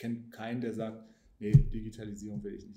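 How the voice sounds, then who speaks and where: In audible room echo, a man speaks with a dark, mellow tone that is somewhat breathy. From Hanover, northern Germany. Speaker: politician. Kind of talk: casual interview.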